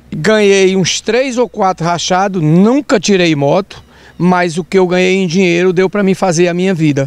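A man with a high voice talks at a moderate pace, with ordinary pitch variation. His loudness stays very even, and the sound is dry with no echo. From Brazil, Maranhão (Presidente Dutra); Maranhão, Brazil. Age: 60s. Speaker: retired vaquejada rider and horse breeder. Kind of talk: interview. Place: farm. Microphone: handheld.

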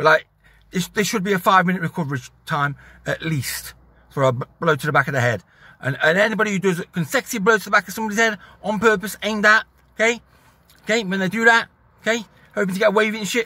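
A man talks very fast in a raised, projected voice with a bright, sharp tone, the sound dry with no echo. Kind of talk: casual vlog rant. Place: car. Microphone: phone near.

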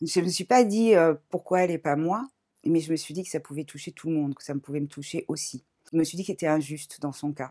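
Delivered at a fairly quick pace, the dark, mellow voice swings widely in loudness with ordinary pitch variation over a quiet background. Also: woman, fairly low pitch for a woman. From Paris, France. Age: 40s. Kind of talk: testimony; interview answer. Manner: hesitant, many fillers. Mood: calm, reflective, emotional topic. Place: home room.

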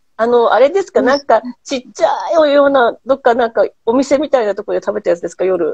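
A woman talks at a very fast pace in a high pitch. Her pitch swings very widely. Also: quiet background, dry sound with no echo. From Japan. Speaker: host, handicraft business owner; host. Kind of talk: casual chat. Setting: Instagram live stream. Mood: warm, smiling. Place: home room. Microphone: earbuds.

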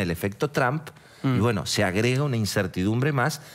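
In an Argentine accent, a man speaks with lively intonation. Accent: Argentine Spanish (Rioplatense). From Argentina. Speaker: economic journalist. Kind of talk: TV interview. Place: studio. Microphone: headset.

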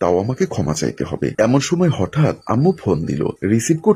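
A passage is read aloud in a natural voice.

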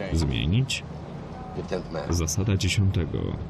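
A man's very deep, low voice at a very slow pace, with music in the background. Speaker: voice-over translator. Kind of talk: film voice-over translation.

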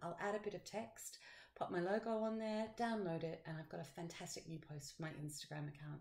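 A woman with a fairly low pitch and ordinary pitch variation speaks at a fairly quick pace, her voice somewhat breathy. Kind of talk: software tutorial screencast. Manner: casual, upbeat.

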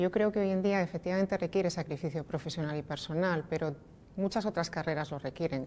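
A woman's dark, mellow voice, fairly low-pitched, at a very fast pace with fairly even intonation over light background noise. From Spain, Asturias (Oviedo); Asturias, Spain. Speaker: energy company executive. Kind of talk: interview. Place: meeting room.

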